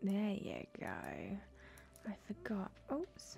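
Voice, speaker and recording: A soft-spoken woman with a relaxed tone, faint music in the background. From Britain. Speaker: ASMR gaming YouTuber. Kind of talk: ASMR let's play gameplay commentary. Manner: soft-spoken, relaxed. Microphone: studio mic.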